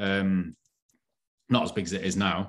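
A man with a northern English accent speaks at a fairly low pitch against a quiet background. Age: 40s. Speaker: online fitness coach. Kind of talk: casual chat.

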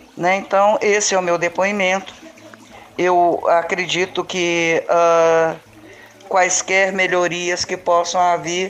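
At a very slow pace, a woman speaks in a flat monotone with very even loudness. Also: fairly low pitch for a woman. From Belo Horizonte, Brazil. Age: 60s. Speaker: local resident and community activist. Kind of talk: testimony. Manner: halting, many fillers.

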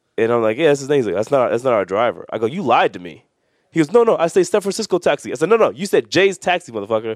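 Talking at a very fast pace, a man uses very wide pitch swings from a fairly high pitch, with vocal fry. The sound is dry and close with no echo. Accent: American. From New York. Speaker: professional wrestler. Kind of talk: casual chat.

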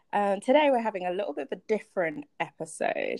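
With a plain, everyday voice, a woman speaks at a moderate pace and with lively intonation, recorded dry and close with no echo. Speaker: podcast host. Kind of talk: casual interview.

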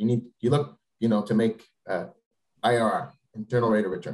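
A man's somewhat breathy voice at a moderate pace. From Quebec, Canada. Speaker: venture capitalist. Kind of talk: interview.

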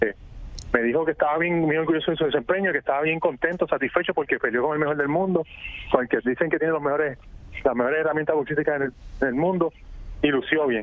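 Speaking at a very fast pace yet with long, frequent pauses, a man with a fairly high pitch keeps his intonation fairly even over noticeable background noise. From Puerto Rico. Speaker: boxing journalist. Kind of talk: radio interview. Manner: halting, repeats words.

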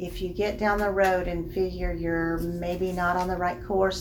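Against noticeable background noise, a woman speaks at a fairly slow pace with a Southern US accent. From Alabama, Birmingham area. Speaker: bank loan officer. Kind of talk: interview.

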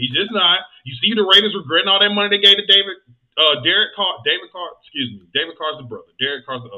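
A man with a Southern US accent speaks in an animated tone at a high pitch and a very fast pace. His intonation is lively, with big swings in loudness. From US South, Georgia. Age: 30s. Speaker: podcast host. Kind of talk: casual chat.

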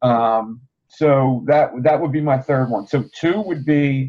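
A plain, everyday voice from a man, fairly high in pitch with ordinary pitch variation. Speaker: MMA podcast panelist. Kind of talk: casual chat.

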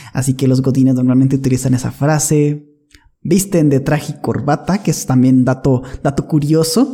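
A man with a somewhat breathy, dark and mellow voice of fairly high pitch speaks at a moderate pace, with fairly even intonation and very even loudness. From northern Mexico. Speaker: podcast guest. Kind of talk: casual chat.

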